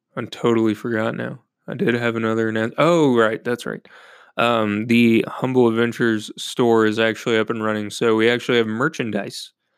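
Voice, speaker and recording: At a fairly quick pace, a man with a medium-pitched voice talks in a monotone, flat intonation. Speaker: podcast host. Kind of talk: casual chat. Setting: at home.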